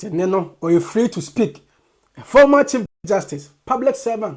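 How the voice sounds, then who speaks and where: The speaker uses a moderate pace with a Ghanaian accent. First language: Twi. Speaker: commentator. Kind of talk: political commentary.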